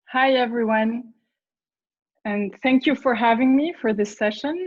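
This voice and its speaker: Speaking at a very slow pace, a woman with a French accent uses a fairly high pitch and ordinary pitch variation. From France. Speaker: parent. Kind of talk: testimony. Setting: video call.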